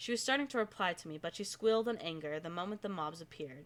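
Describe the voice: Reading aloud, plainly done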